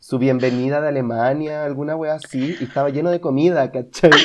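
A man with a Chilean accent, fairly high pitch and fairly even intonation, against a quiet background. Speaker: podcast co-host. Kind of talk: casual chat.

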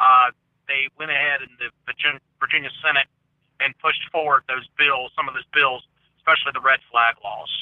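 At a fairly quick pace, a man delivers his lines in a flat, monotone way at a fairly high pitch. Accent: Southern US. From US South. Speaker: conspiracy theory commentator. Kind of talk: casual chat.

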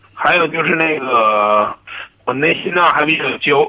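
A man speaks at a fairly slow pace in a fairly high pitch, with noticeable background noise. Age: 20s. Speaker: caller, former salesperson. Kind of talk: call-in advice conversation. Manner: halting, hesitant.

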